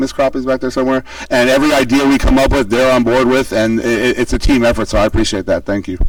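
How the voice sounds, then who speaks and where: Over noticeable background noise, a man speaks at medium pitch and a very fast pace with fairly even intonation. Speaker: school principal. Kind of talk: presentation to a public meeting. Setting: public meeting with boards.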